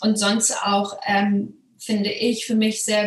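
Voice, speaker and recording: Noticeable background noise is present. A woman speaks in a fairly high pitch. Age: 30s. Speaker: course participant, buyer. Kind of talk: interview testimonial.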